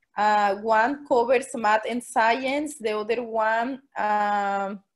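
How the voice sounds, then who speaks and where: A woman talks at a fairly high pitch. She has a Spanish accent. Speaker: special education teacher. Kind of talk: Q&A at online forum. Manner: halting.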